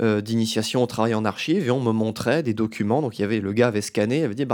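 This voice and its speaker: A man talks at a very fast pace with fairly even intonation on a very clean recording with a silent background. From France, Metz (Lorraine). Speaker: doctoral student and podcast host. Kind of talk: casual interview.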